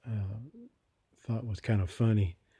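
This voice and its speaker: A man with a fairly low pitch speaks in a dark, mellow tone with fairly even intonation. His voice is somewhat breathy. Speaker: ex-Jehovah's Witness vlogger. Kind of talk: casual personal vlog. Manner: halting, many fillers.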